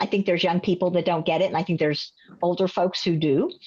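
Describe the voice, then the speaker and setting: Against a quiet background, the pitch moves with ordinary variation. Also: woman. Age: 60s. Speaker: counseling psychologist and presenter. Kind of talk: workshop presentation with Q&A. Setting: video call. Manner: hesitant, many fillers.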